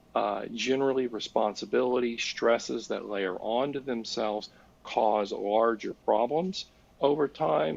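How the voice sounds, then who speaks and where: A man uses a plain, everyday voice, medium in pitch with ordinary pitch variation, and keeps a moderate pace. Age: 60s. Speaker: licensed professional counselor. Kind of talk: podcast interview explaining ADHD.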